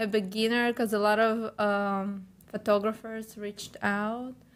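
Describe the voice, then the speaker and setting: In a Ukrainian accent, a woman speaks very slowly at a fairly high pitch. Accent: Ukrainian, noticeable. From Ukraine. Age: 20s. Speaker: model and personal trainer. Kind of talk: interview. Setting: podcast studio.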